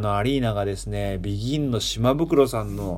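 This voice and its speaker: A man with a normal speaking voice talks at a medium pitch, his intonation fairly even. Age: 30s. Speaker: musician and radio host. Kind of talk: casual radio monologue. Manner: relaxed, many fillers.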